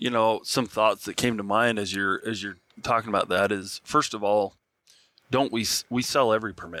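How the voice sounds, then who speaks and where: In a bright, sharp tone with an American accent, the speech moves at a moderate pace in a very clean recording with a silent background and a dry, close sound with no echo. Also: man, fairly low pitch for a man. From Nevada. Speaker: podcast host. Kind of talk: casual interview. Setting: at expo, recorded in person.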